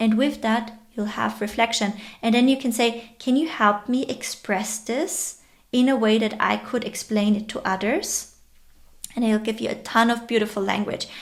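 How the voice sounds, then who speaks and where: This voice has a non-native accent and ordinary pitch variation. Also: woman. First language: not English. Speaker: online educator and entrepreneur. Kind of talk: tutorial.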